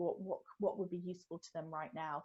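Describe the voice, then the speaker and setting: This woman's voice sits fairly low in pitch. It is somewhat breathy. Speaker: retail business consultant. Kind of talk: webinar Q&A. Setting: online webinar. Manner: fast; hesitant, many fillers.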